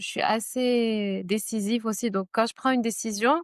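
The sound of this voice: Her voice is fairly high, and she moves at a moderate pace with fairly even intonation. The woman's recording has a dry, close sound with no echo.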